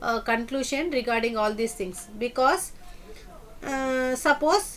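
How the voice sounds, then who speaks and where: Her voice is pitched high for a woman. Its pitch variation is ordinary. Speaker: software testing teacher. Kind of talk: lecture. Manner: halting.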